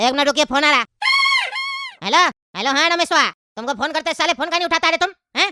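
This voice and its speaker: This cartoonish character voice is high-pitched and very fast, broken up by long, frequent pauses. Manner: impatient, rough.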